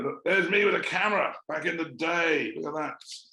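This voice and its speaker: A man's voice with audible room echo. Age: 60s. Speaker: documentary filmmaker. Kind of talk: panel discussion. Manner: halting, many fillers.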